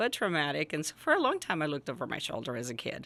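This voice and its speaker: A woman's very deep, low voice with a Spanish accent and a bright, sharp tone, at a fairly quick pace on a very clean recording with a silent background. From Jalisco, Mexico; raised in rural Northern California from age 10. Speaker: school principal. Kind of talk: podcast interview.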